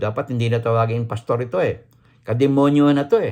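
The setting is quiet. A man talks at a moderate speed. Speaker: vlogger. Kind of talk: angry rant. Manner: indignant, sarcastic, repeats words for emphasis; rhetorical questions with exclamatory 'Ha? Huh?'.

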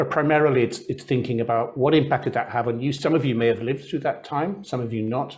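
Speaking very fast with hardly any pauses, a man sounds somewhat breathy and uses ordinary pitch variation. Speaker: interviewer. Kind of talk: interview. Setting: video call. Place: home room. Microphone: lapel.

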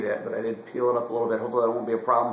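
A man's voice comes through with audible room echo and light background noise. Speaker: cigar reviewer. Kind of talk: casual review chat. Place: home room. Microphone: camera far.

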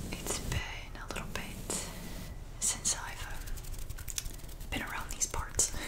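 A woman speaks at a fairly slow pace. Her pauses are long and frequent. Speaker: ASMR creator. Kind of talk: ASMR whispered talk to camera. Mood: calm, warm. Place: home room. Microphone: earbuds.

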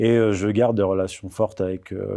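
Over a quiet background, a man with a fairly low pitch and a dark, mellow tone speaks at a moderate pace with fairly even intonation. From France, arrived from Morocco aged 4. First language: Amazigh (Berber) (speaking French). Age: 30s. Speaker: writer and historian of religions; interview guest. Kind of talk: interview. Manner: hesitant, many fillers. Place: studio.

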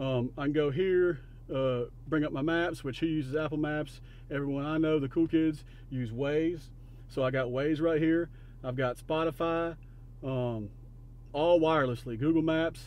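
A man speaks at a fairly slow pace with a fairly high pitch. His intonation stays fairly even. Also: slightly mellow tone.

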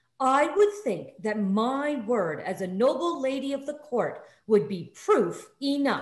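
A woman's shrill, high put-on character voice with very wide pitch swings, fairly slow pace and hardly any pauses. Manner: imperious, indignant, screeching.

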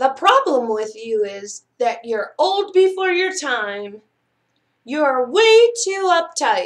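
A woman in a put-on character voice, high in pitch, slow in pace, with big pitch swings.

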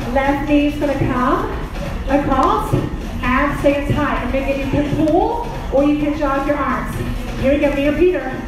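A woman talks at a fairly slow pace with clear music behind her. The room echo is strong. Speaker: fitness instructor. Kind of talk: workout instruction. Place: gym.

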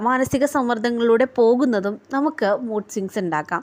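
A woman speaks with a high pitch. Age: 20s. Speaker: YouTuber. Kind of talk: casual advice monologue.

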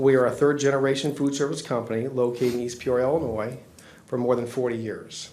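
Over noticeable background noise and audible room echo, a man talks at a fairly quick pace in a medium pitch. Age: 60s. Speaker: business owner petitioner. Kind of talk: public hearing testimony. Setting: zoning board meeting. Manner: formal.

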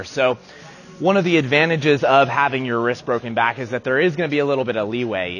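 Male speech with ordinary pitch variation and music in the background. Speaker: strength coach. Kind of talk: tutorial. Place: gym. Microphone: lapel.

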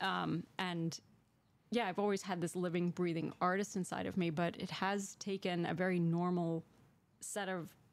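This is a woman with an ordinary speaking voice, medium in pitch, with an American accent. Her intonation stays fairly even and the sound is dry with no echo. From Connecticut. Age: 50s. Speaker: painter; interviewee. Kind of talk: interview. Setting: studio.

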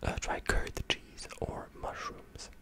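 A soft-spoken man whispers at a very slow pace. The sound is dry with no echo, against loud background noise. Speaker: video creator. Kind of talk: casual commentary on national dishes. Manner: soft close-mic ASMR whisper. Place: home room. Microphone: studio mic.

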